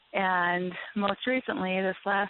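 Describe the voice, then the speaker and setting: A woman with an American accent, an unremarkable speaking voice at medium pitch and a fairly slow pace. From Minnesota. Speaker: caller. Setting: phone call.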